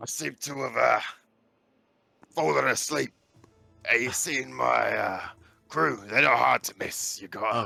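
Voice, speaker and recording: A man talks at a moderate pace in a put-on character voice, raspy and medium-pitched. He leaves long, frequent pauses, with faint music in the background. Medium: actual play. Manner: rambling, casual.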